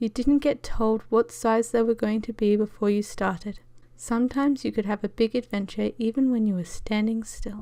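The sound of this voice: The clip has an unforced reading voice with ordinary pitch variation.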